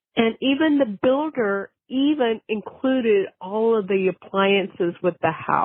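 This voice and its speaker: A normal speaking voice: a woman with an American accent, fairly high pitch, lively intonation, very even loudness, a fairly slow pace and hardly any pauses. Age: 60s. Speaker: podcast caller. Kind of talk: personal testimony. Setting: phone call.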